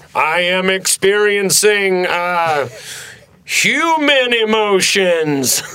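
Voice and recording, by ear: High, put-on character voice from a man, very slow, with long, frequent pauses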